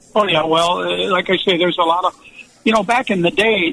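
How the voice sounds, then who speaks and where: A man with an American accent speaks at a high pitch with ordinary pitch variation, and there is noticeable background noise. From Buffalo, New York. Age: 70s. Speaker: retired football coach. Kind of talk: radio interview. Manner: halting, many repetitions.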